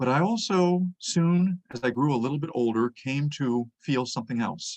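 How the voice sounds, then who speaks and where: The intonation is lively. This man has an American accent. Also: dry, close sound with no echo. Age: 60s. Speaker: history lecturer. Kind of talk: lecture.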